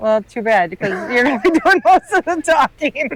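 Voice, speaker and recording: A woman with a Midwestern US accent and lively intonation, in a dry, close sound with no echo. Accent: US Midwest. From Northern Illinois. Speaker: boater and remote worker. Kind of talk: casual chat. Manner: quiet, reserved.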